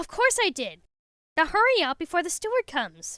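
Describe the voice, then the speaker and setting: A woman performs a put-on character voice. It sits at an extremely high pitch and swings very widely. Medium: read story. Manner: worried.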